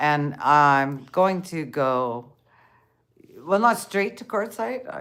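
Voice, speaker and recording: Very wide pitch swings in a Canadian accent. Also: woman. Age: 60s. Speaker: van-life vlogger. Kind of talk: casual live-stream chat. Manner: halting.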